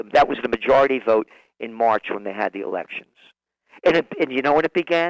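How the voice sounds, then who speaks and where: A man speaks in a New York accent. The sound is dry and close with no echo. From New York City, the Bronx. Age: 60s. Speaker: trend forecaster. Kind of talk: radio interview.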